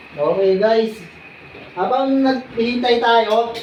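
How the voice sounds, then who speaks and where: A woman's fairly high voice at a very slow pace, with ordinary pitch variation, audible room echo and noticeable background noise. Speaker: vlogger. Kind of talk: cooking vlog. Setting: at home alone. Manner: loud.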